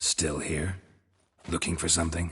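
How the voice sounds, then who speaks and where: Putting on a character voice, a man delivers his lines in a deadpan tone at a moderate pace, very deep and low, raspy, with monotone, flat intonation. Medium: video game. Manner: terse, dry, deadpan.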